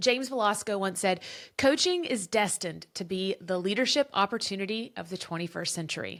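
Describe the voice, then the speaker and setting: Loud and enthusiastic, a woman speaks at a medium pitch with a bright, sharp tone and ordinary pitch variation, on a very clean recording with a silent background. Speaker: podcast host and former teacher turned business coach. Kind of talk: podcast monologue, promotional pitch. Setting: her office.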